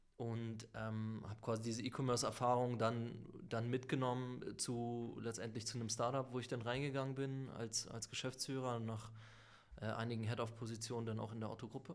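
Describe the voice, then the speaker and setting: In a monotone, flat intonation, a man speaks at a moderate pace. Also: medium pitch for a man. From northern Germany, Lübeck. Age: middle-aged. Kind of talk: interview.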